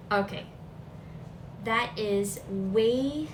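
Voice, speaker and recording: A medium-pitched woman with ordinary pitch variation, amid audible room echo and noticeable background noise. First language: Filipino language. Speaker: vlogger. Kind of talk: casual talk to camera. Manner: casual, chatty.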